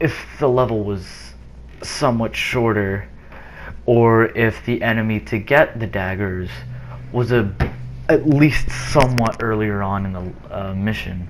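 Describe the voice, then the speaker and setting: Noticeable background noise runs behind a man with a fairly low pitch. He talks at a fairly slow pace, with long, frequent pauses. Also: ordinary pitch variation. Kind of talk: gameplay commentary.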